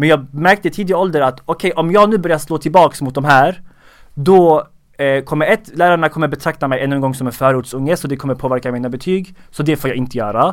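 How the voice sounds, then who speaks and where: On a very clean recording with a silent background, a man speaks at a very fast pace with a fairly high pitch. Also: ordinary pitch variation. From Sweden, Skåne. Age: 20s. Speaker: comedian and social media creator. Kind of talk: casual interview.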